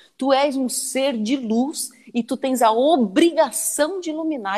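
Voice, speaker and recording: This woman talks high in pitch, her intonation lively. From southern Santa Catarina, Brazil. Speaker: radio host. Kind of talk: live interview.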